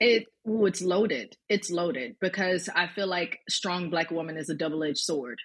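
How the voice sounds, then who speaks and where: A woman with an American accent speaks at a fairly low pitch and a moderate pace with hardly any pauses, in an unremarkable speaking voice. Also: ordinary pitch variation. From US South, Birmingham, Alabama. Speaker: performer. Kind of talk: casual panel discussion.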